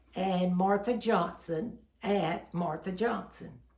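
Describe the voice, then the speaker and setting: A woman talks at a very slow pace. Room echo is audible around her voice. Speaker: shopping haul vlogger. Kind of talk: casual home video chat.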